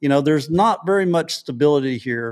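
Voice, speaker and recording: A man with a West Texas accent, fairly high in pitch, at a moderate pace, in a very clean recording with a silent background. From West Texas, Odessa. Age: 60s. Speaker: local activist. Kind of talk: interview. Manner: halting, repetitive.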